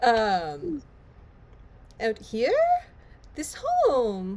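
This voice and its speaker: Put-on character voice, female-sounding and fairly high in pitch. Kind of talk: odd put-on creature voice. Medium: actual play. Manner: broken simple speech, repetitive.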